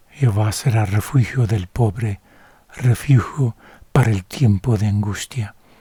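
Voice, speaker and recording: In a dry, close sound with no echo, a man speaks calmly in a dark, mellow, somewhat breathy voice, fairly low in pitch with ordinary pitch variation. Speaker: Bible reader / ASMR narrator. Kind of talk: sleep-aid Bible reading, bilingual English and Spanish. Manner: soft, calm, slow.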